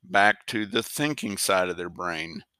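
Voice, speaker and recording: A man's bright, sharp tone carries vocal fry, recorded dry and close with no echo against a very clean, silent background. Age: 50s. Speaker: horse trainer and podcast host. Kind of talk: casual monologue. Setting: bunkhouse at home.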